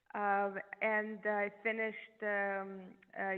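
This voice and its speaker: Here is a woman with a European accent. Her pitch is medium. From Eastern Europe. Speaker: neurologist. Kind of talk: podcast interview.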